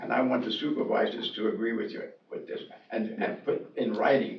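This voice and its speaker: A man speaks at a fairly quick pace with an American accent. Noticeable background noise and audible room echo surround him. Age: 80s+. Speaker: landowner. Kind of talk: public meeting discussion.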